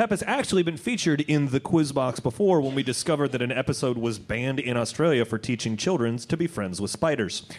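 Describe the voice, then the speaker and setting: A man with a medium pitch talks at a very fast pace with hardly any pauses. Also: lively intonation. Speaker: quiz host and magician. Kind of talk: live quiz show comedy. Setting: stage with audience.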